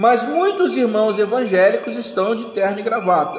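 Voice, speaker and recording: Recorded with audible room echo and noticeable background noise, a man talks at a fairly slow pace with lively intonation. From Rio de Janeiro, Brazil. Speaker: pastor or Sunday school teacher. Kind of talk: Sunday school bible study lecture.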